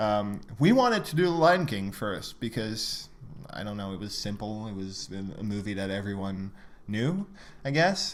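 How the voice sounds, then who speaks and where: Lively intonation marks a man's fairly low voice at a moderate pace, with big swings in loudness and audible room echo. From Quebec, Montreal. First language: French. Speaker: podcast co-host. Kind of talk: casual chat. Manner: hesitant, many fillers.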